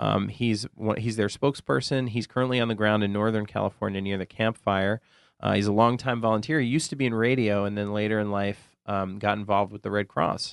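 Against a quiet background, a man with an unremarkable speaking voice talks fairly quickly at a fairly low pitch, in a dry, close sound with no echo. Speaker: podcast co-host. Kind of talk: casual interview. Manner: silly, playful.

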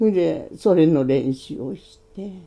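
Lively in intonation, a woman speaks at a fairly slow pace. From Hokkaido. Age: 80s+. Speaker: Ainu language teacher. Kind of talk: casual interview.

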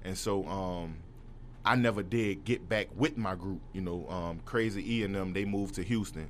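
There is audible room echo around a man with a fairly low pitch. He keeps a moderate pace and ordinary pitch variation. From New Orleans, uptown. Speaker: rapper. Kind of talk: casual interview. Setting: studio.

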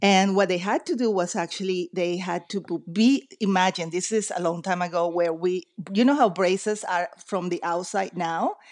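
A woman's medium-pitched voice in a Spanish accent, with ordinary pitch variation, a moderate pace and hardly any pauses. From Venezuela, later raised partly in the US. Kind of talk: interview.

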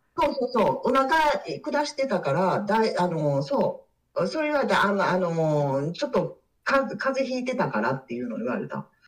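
The speaker's voice shows vocal fry and very wide pitch swings. The pace is moderate. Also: woman, fairly high pitch for a woman. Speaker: divorced woman sharing experience. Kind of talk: casual interview chat. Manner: halting, many fillers.

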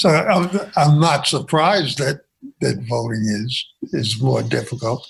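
A man with vocal fry speaks at a fairly slow pace at a medium pitch, his intonation lively. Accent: American. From Brooklyn, New York. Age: 70s. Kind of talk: casual chat. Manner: halting.

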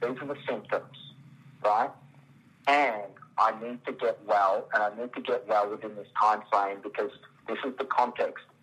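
With an Australian accent, a man speaks at a medium pitch and a moderate pace with fairly even intonation and long, frequent pauses. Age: 40s. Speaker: biologist, stem cell clinic owner. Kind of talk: interview. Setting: phone call.

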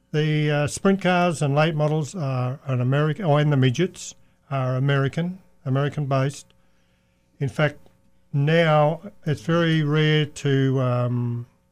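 Fairly slow, fairly even speech with an Australian accent. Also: man. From Australia (Perth). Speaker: race car owner. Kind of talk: casual chat. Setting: studio.

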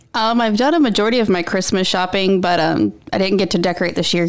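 The voice belongs to a woman with a medium pitch. Behind her, there is noticeable background noise. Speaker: podcast co-host. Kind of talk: casual chat.

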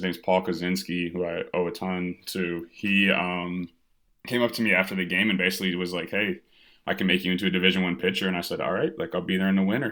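A man with an American accent has a very deep, low pitch. He talks at a fairly quick pace with fairly even intonation. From US Midwest, Evanston near Chicago, Illinois. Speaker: minor league baseball pitcher. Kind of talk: casual interview. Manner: casual, filler-heavy.

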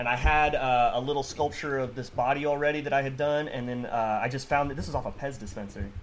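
A man at medium pitch with an American accent, talking at a very fast pace with fairly even intonation, amid audible room echo. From US West Coast, Chula Vista, San Diego area. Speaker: toy designer and sculptor. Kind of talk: casual chat.

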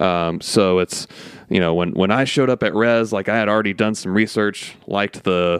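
A plain, everyday voice from a man, fairly low in pitch, with fairly even intonation at a moderate pace, in a dry, close sound with no echo. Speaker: podcast host. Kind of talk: casual chat. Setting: studio.

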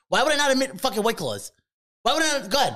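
The voice is raised and projected. Its tone is animated. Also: man. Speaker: podcast co-host. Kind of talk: casual banter. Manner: loud, profane, animated.

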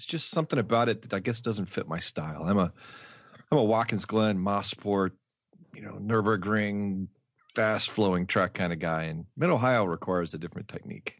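In a plain, everyday voice, a man speaks at a moderate pace. His pitch sits fairly low, with ordinary variation. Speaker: racing driver. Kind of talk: casual chat. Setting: video call.

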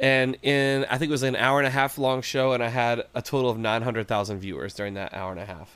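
A man's plain, everyday voice at medium pitch, with an American accent, ordinary pitch variation and a fairly quick pace. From West Virginia. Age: 30s. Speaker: musician. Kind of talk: casual chat.

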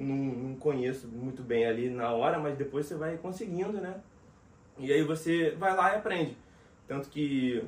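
A man's fairly high voice, a normal speaking voice at a moderate pace with ordinary pitch variation. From Rio de Janeiro, Brazil. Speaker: voice actor and dubbing director. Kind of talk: casual interview chat.

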